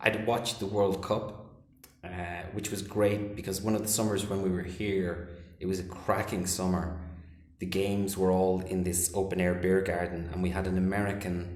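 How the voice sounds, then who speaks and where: A man's very deep, low voice in an Irish accent at a moderate pace, with audible room echo. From Ireland. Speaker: English teacher and film director. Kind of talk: casual chat. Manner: animated.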